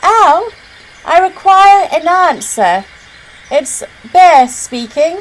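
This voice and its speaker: A woman puts on a character voice, raised and projected at an extremely high pitch. She speaks very slowly with long, frequent pauses. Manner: very loud; demanding.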